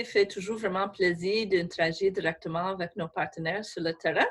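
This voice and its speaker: Over noticeable background noise, a woman speaks with an English Canadian accent. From Canada, Saskatchewan. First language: English (speaking French). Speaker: government official. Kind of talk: webinar presentation. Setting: remote from her office. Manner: halting.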